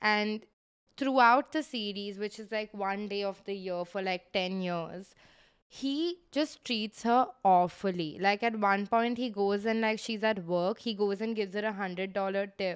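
A woman talks at a moderate pace with ordinary pitch variation. The background is quiet. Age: 20s. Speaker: podcast co-host. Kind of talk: casual chat. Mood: relaxed, animated chat. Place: home room. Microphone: handheld.

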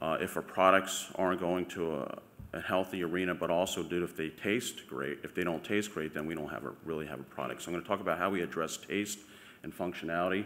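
The pitch of this man's voice is very deep and low. His intonation varies fairly little. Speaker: presenter. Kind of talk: conference talk. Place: hall. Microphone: podium.

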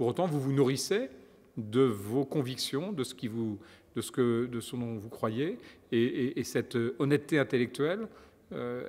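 Man at a moderate pace with a medium pitch. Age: 50s. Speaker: politician. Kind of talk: interview. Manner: hesitant, with many repetitions. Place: studio.

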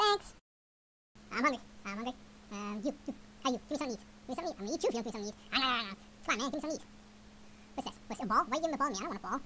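A put-on, whiny character voice, female-sounding and high-pitched, at a very fast pace broken by long, frequent pauses. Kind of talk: silly pet voice-over. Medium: dub. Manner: fast, whiny, excitable.

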